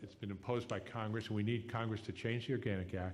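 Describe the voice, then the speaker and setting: A normal speaking voice with fairly even intonation at a fairly quick pace. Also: man. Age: 60s. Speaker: political candidate. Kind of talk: political debate answer. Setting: live radio forum.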